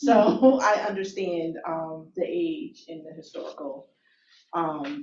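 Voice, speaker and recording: A woman with an American accent speaks at a very slow pace in a somewhat breathy, medium-pitched voice, with very wide pitch swings and big swings in loudness. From Albany, New York. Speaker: planning board member. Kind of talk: public hearing questioning. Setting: public meeting.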